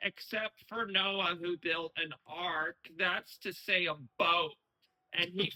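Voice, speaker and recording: A man's put-on character voice, high in pitch, monotone and flat, at a fairly slow pace with a dry, close sound and no echo. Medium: audio drama. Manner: solemn, mock-prophetic.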